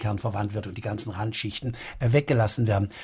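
A somewhat breathy man's voice at a very fast pace. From Baden, southwest Germany. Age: 60s. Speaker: doctor and author. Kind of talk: radio interview.

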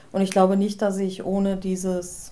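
Audible room echo surrounds a woman's medium-pitched voice with a dark, mellow tone. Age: 40s. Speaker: formerly long-term unemployed office worker. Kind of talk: interview.

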